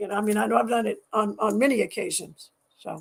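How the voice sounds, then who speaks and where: This woman's voice has vocal fry and a fairly high pitch. She talks at a fairly quick pace. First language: French. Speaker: scientist and athlete. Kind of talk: interview. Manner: halting, many repetitions.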